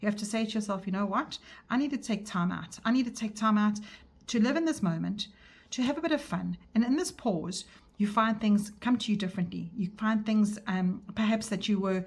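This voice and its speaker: A woman talks at a fairly quick pace in a somewhat breathy, fairly high-pitched voice with ordinary pitch variation. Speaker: tarot reader. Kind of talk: tarot reading monologue. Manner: fast; hesitant, with fillers and restarts.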